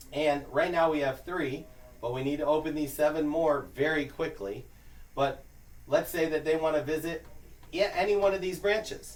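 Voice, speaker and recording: Against noticeable background noise, a man with an American accent speaks at a moderate pace with ordinary pitch variation. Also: fairly high pitch for a man. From New York. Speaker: business recruiter. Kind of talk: orientation presentation. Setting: small room with audience. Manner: casual, conversational.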